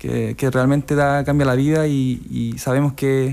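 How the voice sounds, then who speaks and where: A man speaks with monotone, flat intonation. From Chile, Coquimbo region (La Serena); Coquimbo, Chile. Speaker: transplant footballer; radio interview guest. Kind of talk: radio interview. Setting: radio studio. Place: studio. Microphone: studio mic.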